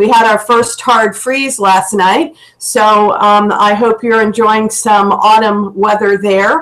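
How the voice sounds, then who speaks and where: Someone with an American accent speaks at a very slow pace with hardly any pauses. Intonation is fairly even, and loudness stays very even. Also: woman, fairly high pitch for a woman. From US South. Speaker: computer science educator. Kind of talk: online presentation. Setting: video call from home office.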